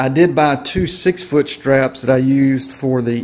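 A man talks with fairly even intonation. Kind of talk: casual DIY vlog narration. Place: garage. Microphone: phone near.

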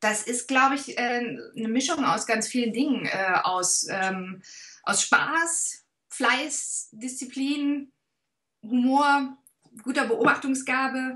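Against a quiet background, a woman uses a raised, projected voice with a bright, sharp tone and high pitch, speaking very slowly with long, frequent pauses. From Swabia, southern Germany. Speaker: actress. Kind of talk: interview answer. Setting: video call. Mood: warm, thoughtful. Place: home room.

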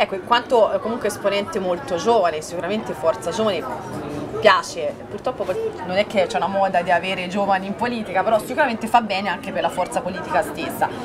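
A woman talks at a very fast pace. Crowd noise can be heard in the background. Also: ordinary pitch variation. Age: 20s. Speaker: local TV news presenter; TV news presenter. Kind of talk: TV news magazine interview. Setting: outdoor set in the town square. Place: cafe.

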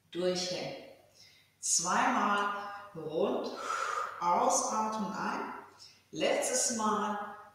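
A woman speaks at a very slow pace with ordinary pitch variation, in strong room echo with noticeable background noise. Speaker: fitness instructor. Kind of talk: exercise class instructions. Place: home room. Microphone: camera far.

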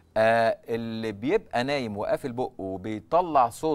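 A man speaks over light background noise. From Egypt. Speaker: ENT doctor; guest. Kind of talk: TV interview. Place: studio. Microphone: lapel.

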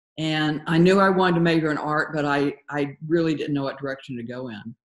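A woman speaks in a very deep, low voice with ordinary pitch variation. The background is quiet, but audible room echo comes through. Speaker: guest. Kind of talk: interview answer. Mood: relaxed, occasionally laughing. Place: home room. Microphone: video call.

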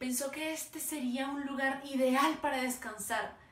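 A high-pitched woman at a fairly slow pace, fairly even in intonation, with audible room echo. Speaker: oral storyteller. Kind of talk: dramatic oral storytelling performance of a parable. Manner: slow, vivid descriptive pacing lingering on imagery; emotive, building to sorrowful intensity. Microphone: phone near.

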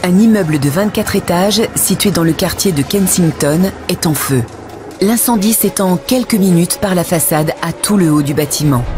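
Clear music plays in the background as a woman talks at a fairly low pitch. Her intonation is lively while her loudness stays very even. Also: moderate pace. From France. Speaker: voice actor. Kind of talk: documentary narration. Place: booth. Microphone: studio mic.

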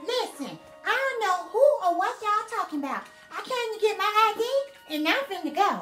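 Over clear background music, a woman uses a put-on character voice at an extremely high pitch with lively intonation. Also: moderate pace. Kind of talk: comedic sketch acting. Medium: comedy sketch. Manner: blunt, sassy, slangy. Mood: impatient.

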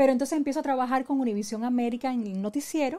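A woman is speaking here. Her tone is dark and mellow. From Puerto Rico. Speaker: radio host and musicologist; radio host. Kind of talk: interview. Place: studio.

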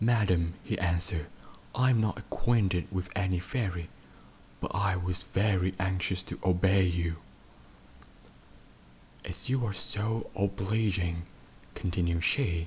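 In a somewhat breathy voice with fairly even intonation, the speaker goes at a fairly slow pace with long, frequent pauses. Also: man, very deep, low pitch for a man. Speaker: podcaster. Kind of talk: sleep story. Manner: soft-spoken.

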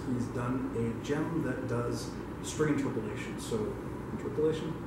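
A man at a moderate pace, with loud background noise and audible room echo. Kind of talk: event announcements. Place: meeting room. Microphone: camera far.

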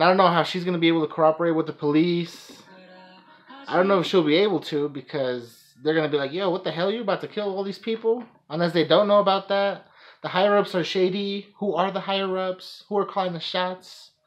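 Over music in the background, a man with a high-pitched voice talks at a very fast pace. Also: ordinary pitch variation. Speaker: anime reaction vlogger. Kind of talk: casual reaction commentary. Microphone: phone near.

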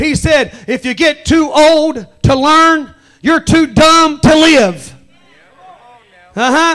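A man's extremely high voice, passionate and very slow, with long, frequent pauses over a quiet background. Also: ordinary pitch variation. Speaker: pastor. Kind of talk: apostolic sermon at a tent revival. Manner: passionate, call-and-response preaching. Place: tent. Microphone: handheld.

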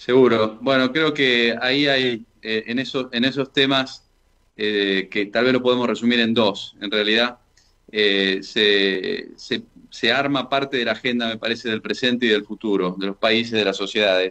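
A man talks fairly slowly, keeping his intonation fairly even, with a quiet background behind him. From Argentina. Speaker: engineer and former government official; interview guest. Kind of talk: radio interview. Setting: phone call. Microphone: video call.

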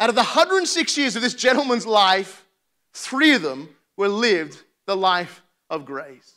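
Against a quiet background, a man projects a raised voice with a bright, sharp tone. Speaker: preacher. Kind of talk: sermon. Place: church. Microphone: lapel.

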